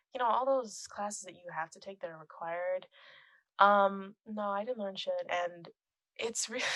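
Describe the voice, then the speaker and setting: A quiet woman talks at a moderate pace in a fairly high pitch, with big swings in loudness. The sound is dry and close, with no echo. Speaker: film composer and musician. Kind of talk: casual chat. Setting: podcast recording.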